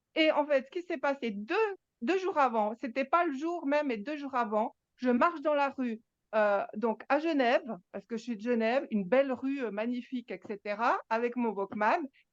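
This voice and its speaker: Lively intonation comes through with a dry, close sound and no echo. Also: woman, high pitch for a woman, moderate pace. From Switzerland, Geneva. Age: 60s. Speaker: spiritual gathering participant. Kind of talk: personal testimony. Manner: halting, many repetitions.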